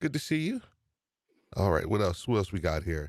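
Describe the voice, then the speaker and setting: A man with a New York accent speaks in an animated tone in a very clean recording with a silent background. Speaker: podcast host. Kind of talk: live stream chat.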